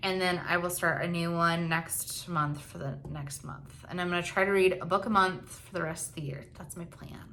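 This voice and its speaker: A woman talks at a moderate pace with hardly any pauses, her fairly low voice showing big swings in loudness. Noticeable background noise sits behind her. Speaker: lifestyle vlogger. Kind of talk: casual monthly update vlog. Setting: home, at night. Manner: quiet, lowered volume; casual, filler-heavy.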